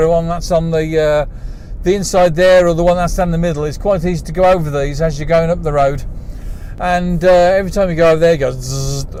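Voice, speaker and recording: A man speaks at a high pitch. There is noticeable background noise and audible room echo. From England. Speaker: vlogger. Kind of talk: casual monologue while driving. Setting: in a car. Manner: hesitant, many fillers.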